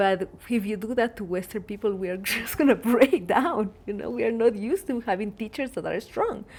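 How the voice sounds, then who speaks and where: Talking at a fairly quick clip with hardly any pauses, a woman with a fairly high pitch and ordinary pitch variation is heard over noticeable background noise. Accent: Latin American. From Ecuador. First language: Spanish. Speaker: plant medicine facilitator and meditation teacher. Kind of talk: casual interview conversation.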